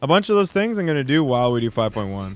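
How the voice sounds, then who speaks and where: A man is speaking. His pace is very fast. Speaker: video game streamer. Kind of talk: live stream chat while gaming. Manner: casual, halting with repeated words.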